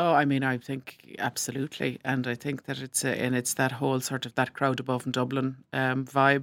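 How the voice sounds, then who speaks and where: Monotone and flat, the speaker goes at a moderate pace with hardly any pauses and an Irish accent, in a very clean recording with a silent background. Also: woman, very deep, low pitch for a woman. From rural Ireland. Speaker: newspaper columnist and broadcaster. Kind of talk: casual interview discussion.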